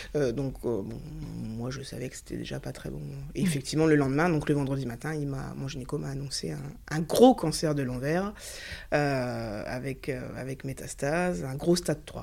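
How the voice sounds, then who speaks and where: Her pace stays moderate. This woman's volume rises and falls in big swings. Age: 30s. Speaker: cancer patient. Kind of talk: testimony. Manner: animated.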